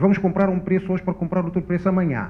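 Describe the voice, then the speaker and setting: A man talks at a very fast pace, his voice pitched high. Background noise is noticeable. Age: 60s. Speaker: economist panelist. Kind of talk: panel discussion. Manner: halting.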